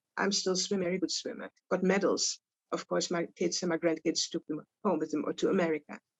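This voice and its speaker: With a Dutch accent, a woman talks at a fairly quick pace and keeps her intonation fairly even. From Netherlands. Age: 80s+. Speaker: Holocaust survivor. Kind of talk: testimony. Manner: halting.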